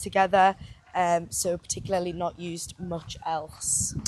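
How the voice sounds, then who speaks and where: Fairly low female speech with ordinary pitch variation over noticeable background noise. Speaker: personal trainer, podcast co-host. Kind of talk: casual chat. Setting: outdoors, walking.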